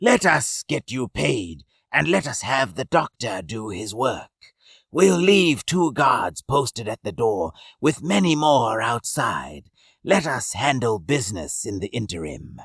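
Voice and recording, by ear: Using a put-on character voice at a medium pitch, a man talks at a fairly slow pace with very wide pitch swings and a hissing quality.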